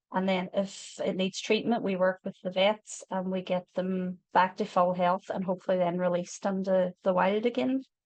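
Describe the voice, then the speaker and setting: A woman with a Northern Irish accent talks at a moderate pace and medium pitch, with hardly any pauses. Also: fairly even intonation. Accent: Derry. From Northern Ireland, Derry. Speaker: wildlife charity volunteer speaker. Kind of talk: online educational talk. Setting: online video talk. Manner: casual, filler-heavy.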